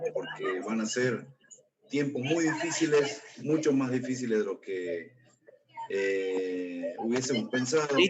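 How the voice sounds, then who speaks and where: Speaking very slowly with lively intonation, a man at a medium pitch is heard with audible room echo. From Jujuy, northwestern Argentina. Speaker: political activist. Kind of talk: formal remarks in meeting.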